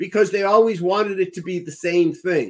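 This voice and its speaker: The man speaks with a high pitch. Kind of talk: casual chat.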